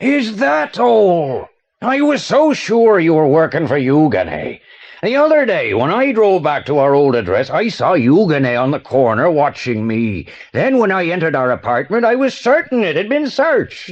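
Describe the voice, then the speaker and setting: Using a put-on character voice, a man speaks high in pitch at a moderate pace. His pitch swings very widely. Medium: audio drama. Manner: pompous, florid.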